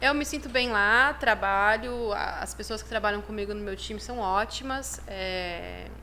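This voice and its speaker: A woman at a fairly slow pace, with hardly any pauses. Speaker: chiropractic professor and university program head. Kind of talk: podcast interview, casual chat.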